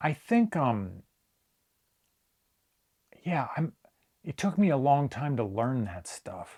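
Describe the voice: A man's slightly mellow voice with a slightly husky edge, slow pace and big pitch swings. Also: medium pitch for a man.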